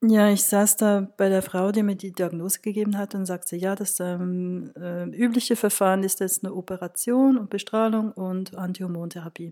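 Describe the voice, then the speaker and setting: A woman talks at a moderate pace with hardly any pauses, her pitch medium and her tone dark and mellow. Her intonation stays fairly even. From Switzerland, Zürich. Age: 40s. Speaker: graphic designer, cancer patient. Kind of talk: personal testimony.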